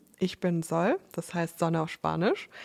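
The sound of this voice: With vocal fry and a slightly mellow tone, a woman speaks at a fairly slow pace and fairly low pitch, using lively intonation on a very clean recording with a silent background.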